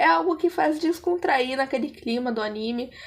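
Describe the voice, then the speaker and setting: A woman talks at a moderate pace with a high pitch and lively intonation. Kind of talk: casual anime review to camera.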